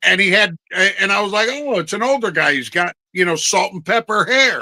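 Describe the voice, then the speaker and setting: In an American accent, a raised, projected voice with a bright, sharp tone moves at a moderate pace with lively intonation, the sound dry and close with no echo. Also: man, high pitch for a man. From New Jersey. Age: 50s. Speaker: podcast co-host. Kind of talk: casual chat.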